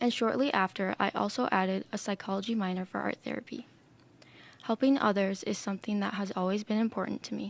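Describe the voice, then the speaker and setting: With an American accent, a woman speaks at a very fast pace and medium pitch with fairly even intonation, on a very clean recording with a silent background. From Minnesota, US Midwest. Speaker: art student. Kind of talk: presentation talk. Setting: podcast room.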